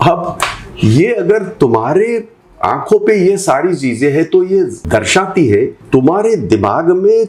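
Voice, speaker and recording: The speaker is a man with a high pitch. His pitch swings very widely. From Mumbai, India. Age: 60s. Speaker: politician. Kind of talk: interview. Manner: animated.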